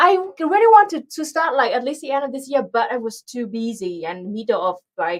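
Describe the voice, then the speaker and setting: A woman speaks at a fairly quick pace with a Vietnamese accent and a high pitch. Her loudness swings widely, and her pitch moves in very wide arcs. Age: 30s. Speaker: political streamer. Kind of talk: live stream chat. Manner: halting.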